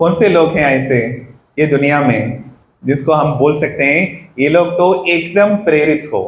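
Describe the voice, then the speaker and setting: With a non-native accent, a man speaks in a somewhat breathy, fairly high-pitched voice with ordinary pitch variation, and the room echo is audible. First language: not Hindi (speaking Hindi). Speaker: parenting workshop speaker. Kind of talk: workshop talk to parents. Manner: mixes Hindi and English; interactive, asks audience questions.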